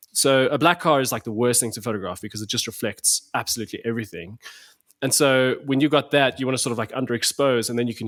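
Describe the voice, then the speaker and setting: With a South African accent, a man talks at a very fast pace and medium pitch, his pitch variation ordinary, in a very clean recording with a silent background. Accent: South African (Afrikaans) English. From South Africa, Pretoria. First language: Afrikaans. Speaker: photographer. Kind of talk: casual chat. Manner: animated, many repetitions and fillers.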